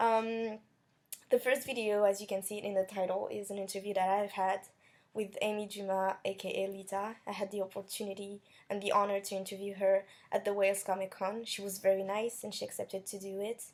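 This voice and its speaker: A woman with a non-native accent talks at a fairly quick pace in a monotone, flat intonation, in a very clean recording with a silent background. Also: medium pitch for a woman. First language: not English. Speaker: YouTuber interviewing wrestler. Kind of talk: casual vlog intro; interview. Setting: comic convention. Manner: hesitant.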